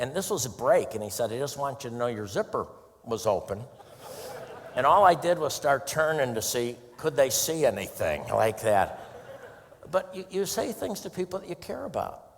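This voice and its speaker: Noticeable noise fills the background. Over it, a man speaks at a moderate speed. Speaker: motivational speaker. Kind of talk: motivational talk.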